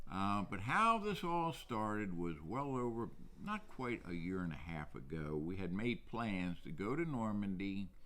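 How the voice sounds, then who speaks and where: In an American accent, the speaker moves at a fairly slow pace with very wide pitch swings and a bright, sharp tone, while room echo can be heard. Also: man, fairly low pitch for a man. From New Jersey, South Jersey. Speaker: museum curator. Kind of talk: interview. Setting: on location in a historic drugstore.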